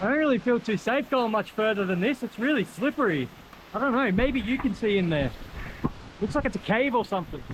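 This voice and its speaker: Fairly quick speech with an Australian accent, lively intonation and very even loudness. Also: man, high pitch for a man. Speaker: travel vlogger. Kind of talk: casual vlog narration. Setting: outdoors. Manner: animated.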